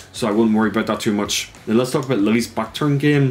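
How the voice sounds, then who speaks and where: Against noticeable background noise, a man with an Irish accent speaks at medium pitch with fairly even intonation. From Ireland. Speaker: esports player. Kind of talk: tutorial.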